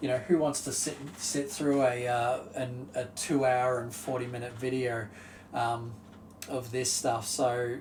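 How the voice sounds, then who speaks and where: Audible room echo surrounds a man speaking very slowly at medium pitch. His intonation is fairly even. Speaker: video game youtuber. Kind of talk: solo commentary ranking video games. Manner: halting, many fillers.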